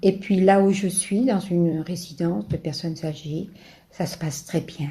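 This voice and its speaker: A woman's somewhat breathy voice, dark and mellow in tone, moves at a fairly slow pace. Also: fairly low pitch for a woman, ordinary pitch variation. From France, Paris. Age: 80s+. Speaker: retiree interviewee. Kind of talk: interview.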